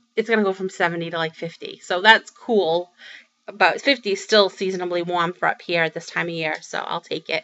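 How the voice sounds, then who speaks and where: A woman with a Boston accent talks at a fairly quick pace, her fairly low voice keeping fairly even intonation. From Massachusetts, Boston area. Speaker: crafting vlogger. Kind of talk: casual vlog update. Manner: chatty, many fillers.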